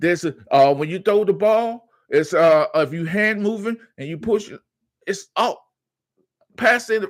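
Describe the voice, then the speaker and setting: In a put-on character voice, the speaker mumbles at a moderate pace with ordinary pitch variation and long, frequent pauses. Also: man, high pitch for a man. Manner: stuttering and mumbling.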